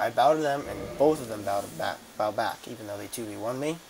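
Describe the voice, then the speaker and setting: Noticeable background noise sits behind the recording. A man talks at a fairly quick pace with a medium pitch. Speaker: gaming video creator. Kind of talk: gameplay commentary. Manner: fast; halting.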